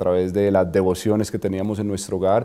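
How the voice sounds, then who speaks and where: A man talks at a very fast pace with a Colombian accent. His tone is dark and mellow. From Colombia, Medellín. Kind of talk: interview. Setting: studio. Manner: hesitant, many fillers.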